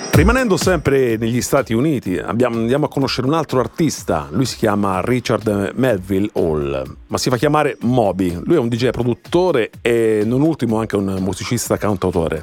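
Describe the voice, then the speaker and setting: Moving at a moderate pace, a man with a medium pitch makes very wide pitch swings. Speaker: radio host. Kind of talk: radio show interview.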